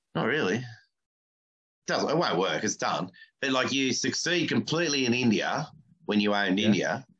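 Lively intonation carries speech at a fairly quick pace, broken by long, frequent pauses. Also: man, medium pitch for a man. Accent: Australian. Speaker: podcast host and comedian. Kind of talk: casual chat. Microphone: poor sound, mic covered with tape.

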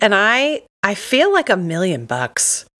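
Against a silent background on a very clean recording, a woman talks with an American accent. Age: 30s. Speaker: teacher and podcast co-host. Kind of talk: casual chat.

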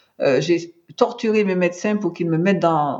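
Speaking at a fairly slow pace, a woman with a medium pitch shows ordinary pitch variation. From Martinique. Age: 60s. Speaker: cancer patient, patient advocate. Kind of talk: testimony. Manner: halting, frequent repetitions.

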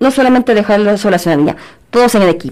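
This woman speaks at a very fast pace in a fairly high voice. Her pitch varies in an ordinary way. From Guadalajara, Jalisco, Mexico. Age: 50s. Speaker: biology teacher. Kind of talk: interview.

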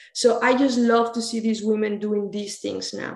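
A woman with a Spanish accent speaks at a moderate pace and a fairly high pitch. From Mexico, near Toluca. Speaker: university soccer coach. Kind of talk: interview. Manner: halting.

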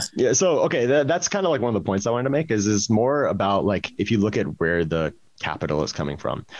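Using vocal fry, a man races along at a very fast pace with very wide pitch swings. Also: medium pitch for a man. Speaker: crypto startup co-founder and CTO. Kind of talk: casual chat.

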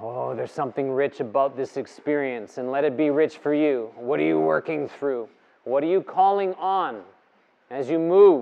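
Fairly high in pitch with lively intonation, this man has a plain, everyday voice. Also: moderate pace. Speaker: yoga teacher leading breathwork. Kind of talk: guided breathwork session, live class instruction. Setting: live in-person yoga studio session with participants. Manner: urgent, commanding, coaching with rhythmic repeated cues; intense, provocative, pushing the group to work up into a frenzy.

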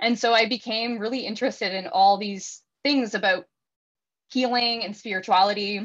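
With a Canadian accent, a woman speaks at a moderate pace and fairly high pitch. She has a plain, everyday voice with fairly even intonation. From Ontario, Canada (Welland). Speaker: astrologer and yoga teacher. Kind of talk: casual interview chat.

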